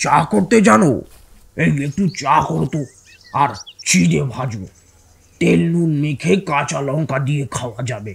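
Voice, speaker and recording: Putting on a character voice, a man talks at a fairly slow pace in a fairly high pitch with very wide pitch swings. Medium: read story. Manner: curt, grumbling, bossy.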